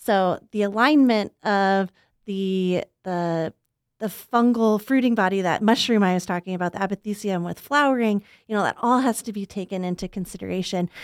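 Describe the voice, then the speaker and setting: An unremarkable speaking voice with an American accent moves at a moderate pace with ordinary pitch variation, in a very clean recording with a silent background and a dry, close sound with no echo. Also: woman, medium pitch for a woman. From US South, Arkansas. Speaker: plant pathologist, professor. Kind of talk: interview. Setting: studio.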